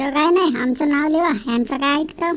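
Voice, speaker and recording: A woman performs a cartoonish character voice, high in pitch. She speaks at a moderate pace. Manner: loud, complaining.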